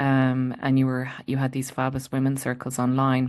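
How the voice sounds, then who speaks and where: This woman speaks in a Munster Irish accent at a very deep, low pitch, with monotone, flat intonation and a fairly quick pace. The background is quiet. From Ireland, County Limerick. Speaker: transition coach. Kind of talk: interview storytelling.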